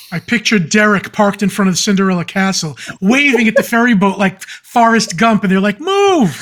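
A man with a high-pitched voice talks with hardly any pauses and ordinary pitch variation over noticeable background noise. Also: fairly quick pace. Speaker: podcast co-host. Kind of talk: casual chat.

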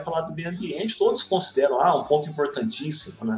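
The voice makes very wide pitch swings. Noticeable background noise runs underneath. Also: man. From Minas Gerais interior, Brazil. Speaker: paleontology professor. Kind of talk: interview. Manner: hesitant, many fillers.

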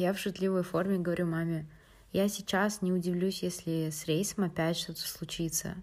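A woman's fairly low voice at a moderate pace, with fairly even intonation, on a very clean recording against a silent background. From Kazakhstan, Atyrau. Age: 18. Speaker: university student. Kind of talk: personal storytelling.

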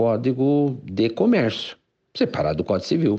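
The man talks fairly slowly, and the background stays quiet. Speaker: law professor. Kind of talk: interview. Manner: halting, with many fillers.

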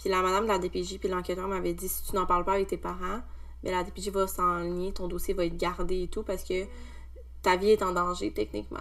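A woman speaks at a fairly quick pace with a Quebec accent. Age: 20s. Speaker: social work technician. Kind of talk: testimony.

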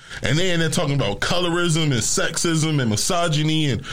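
A man's fairly high voice at a fairly quick pace. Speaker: radio show guest. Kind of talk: informal slang. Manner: casual, conversational.

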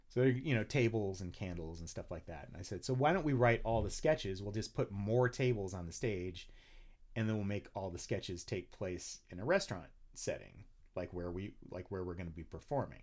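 Big swings in loudness and lively intonation mark this man's fairly low-pitched voice. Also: fairly quick pace. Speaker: comedian and singer. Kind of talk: casual chat. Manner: animated.

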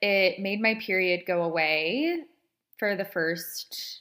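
Her tone is bright and sharp, a woman speaking at a medium pitch. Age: 20s. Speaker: podcast host. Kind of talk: casual personal monologue. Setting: recording in bed at home.

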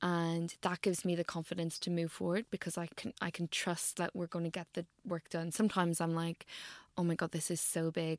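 In a very clean recording with a silent background, a woman with an Irish accent speaks at a fairly quick pace with a fairly low pitch and monotone, flat intonation. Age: 30s. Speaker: medical doctor and nutritionist. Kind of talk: interview conversation. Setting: in person in Central London.

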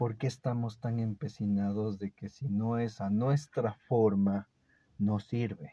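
A man speaks very slowly in a fairly low voice with a dark, mellow tone. The sound is dry and close, with no echo. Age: 30s. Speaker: podcaster sharing personal reflections. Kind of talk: personal monologue. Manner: animated.

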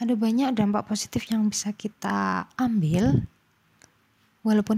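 A woman speaks at a fairly slow pace with ordinary pitch variation and a dark, mellow, somewhat breathy tone, in a dry, close sound with no echo on a very clean recording with a silent background. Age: 20s. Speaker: university student. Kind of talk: solo talk.

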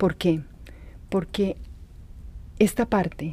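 A woman's dark, mellow tone, calm, at a fairly slow pace with fairly even intonation. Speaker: podcast host. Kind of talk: reflective monologue. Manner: slow, calm; halting, with fillers and repeats.

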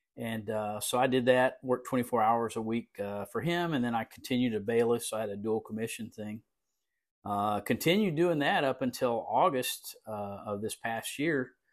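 The speaker talks at a moderate pace with a South Texas accent and ordinary pitch variation. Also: man, medium pitch for a man. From Texas Coastal Bend. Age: 60s. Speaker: police chief. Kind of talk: interview. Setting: remote recording.

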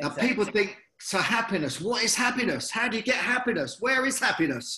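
Speaking in a British accent, a man uses a raised, projected voice at an extremely high pitch. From UK. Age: 50s. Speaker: former boxer and motivational speaker. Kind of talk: interview. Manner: energetic.

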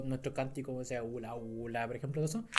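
A man talks at a medium pitch in a Chilean accent. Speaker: podcast co-host, astronomer. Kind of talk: casual chat. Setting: in-person recording, handheld mics.

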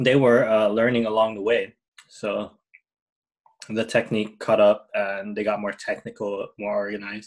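At a moderate pace, a man talks with a Hawaiian accent. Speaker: English teacher, podcast co-host. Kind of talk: casual chat.

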